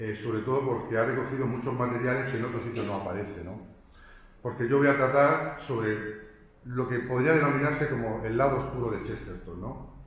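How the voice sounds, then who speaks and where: A man with a Murcian accent, medium pitch, fairly even intonation and a fairly quick pace, amid noticeable background noise and audible room echo. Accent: Murcian, speaks fast. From Spain, Murcia. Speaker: professor. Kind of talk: lecture. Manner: fast; halting, with repetitions.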